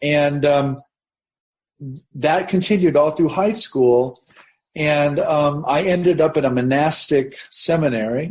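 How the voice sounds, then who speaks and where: Speaking very slowly with a Midwestern American accent, a man uses a fairly high pitch, ordinary pitch variation, very even loudness and a somewhat breathy sound. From US Midwest, southeastern Nebraska. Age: 50s. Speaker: religion professor, author. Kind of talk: interview conversation, personal story.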